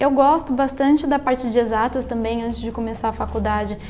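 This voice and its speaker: Over noticeable background noise, a woman speaks with high pitch and fairly even intonation. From Brazil, São Paulo state (Salto). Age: 20s. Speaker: engineering student and amateur writer. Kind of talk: interview. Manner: halting, with repetitions.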